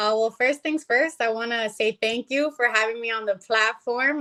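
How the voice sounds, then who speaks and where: In a plain, everyday voice, the speaker goes at a moderate pace with ordinary pitch variation. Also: woman. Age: 20s. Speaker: company vice president, guest. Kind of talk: casual interview chat.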